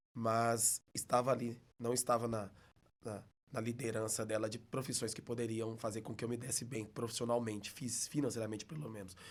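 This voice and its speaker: A man speaks with a mineiro accent. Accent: mineiro (Belo Horizonte). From Minas Gerais, Belo Horizonte. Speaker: teacher. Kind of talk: casual interview.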